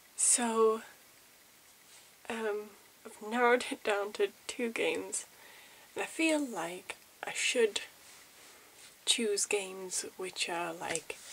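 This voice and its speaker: Soft-spoken, a woman talks with ordinary pitch variation. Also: long, frequent pauses. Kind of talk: ASMR game review.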